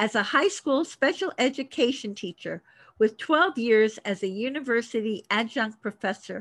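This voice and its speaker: In an American accent, a woman with an unremarkable speaking voice talks at a moderate pace, her fairly high pitch carried by lively intonation. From Miami, Florida. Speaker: podcast host and author. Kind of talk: scripted introduction; interview. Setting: studio.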